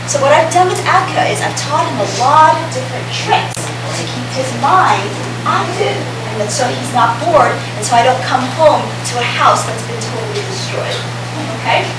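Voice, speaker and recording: A woman at a moderate pace, with noticeable background noise and audible room echo. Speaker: presenter. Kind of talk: lecture. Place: hall. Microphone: camera far.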